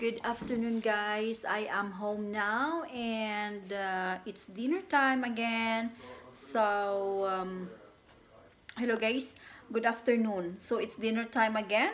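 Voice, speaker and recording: A woman speaks at a very slow pace with ordinary pitch variation. Light background noise can be heard. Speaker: vlogger. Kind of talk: casual vlog chat. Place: kitchen. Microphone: phone near.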